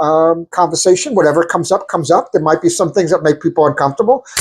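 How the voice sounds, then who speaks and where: A man's high-pitched voice with a New York accent and ordinary pitch variation. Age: 60s. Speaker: podcast co-host, attorney. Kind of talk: casual chat.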